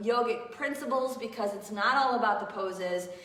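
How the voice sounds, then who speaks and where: Noticeable background noise and audible room echo around a woman with a warm tone, fairly high pitch and ordinary pitch variation. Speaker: yoga teacher. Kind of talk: live online yoga class. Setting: live stream. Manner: casual, warm.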